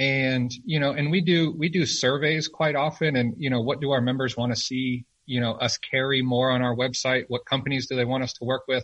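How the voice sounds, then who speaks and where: With an unremarkable speaking voice, a man of medium pitch talks at a fairly quick pace, using fairly even intonation and hardly any pauses. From rural Arizona. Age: 30s. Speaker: firearms retail company representative. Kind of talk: casual interview.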